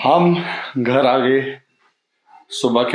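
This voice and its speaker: A man's voice carries audible room echo. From India. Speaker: travel vlogger. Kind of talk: travel vlog. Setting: airport and in flight; at home. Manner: hesitant, many fillers.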